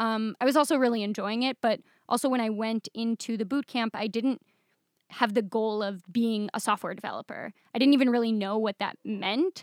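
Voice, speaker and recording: Her voice is fairly high in pitch with ordinary pitch variation as this woman, with a Midwestern American accent, talks at a fairly quick pace in a dry, close sound with no echo. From Michigan, US Midwest. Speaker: software developer. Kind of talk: casual interview.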